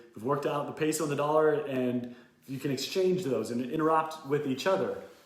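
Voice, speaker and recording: A man's fairly high-pitched voice with ordinary pitch variation, audible room echo and noticeable background noise. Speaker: educational YouTuber. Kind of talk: tutorial.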